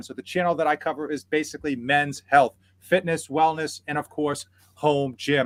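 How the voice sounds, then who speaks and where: A man speaks with a Boston accent. The recording is very clean, with a silent background and a dry, close sound with no echo. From Boston area, New England. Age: 40s. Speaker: fitness youtuber. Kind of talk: casual livestream interview chat. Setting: livestream. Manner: animated.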